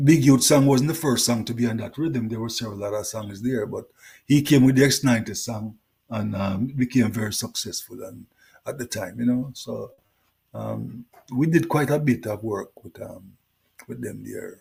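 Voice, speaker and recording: A man with a Jamaican accent speaks at a moderate pace in a medium-pitched voice with vocal fry, ordinary pitch variation and big swings in loudness. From Jamaica (Kingston). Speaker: reggae singer. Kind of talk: interview.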